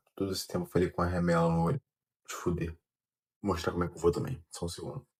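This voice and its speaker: Soft-spoken and very deep in pitch, a man talks at a very fast pace. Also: very clean recording, silent background. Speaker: amateur runner vlogger. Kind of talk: casual vlog monologue. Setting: at home, early morning. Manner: soft-spoken, speaking quietly.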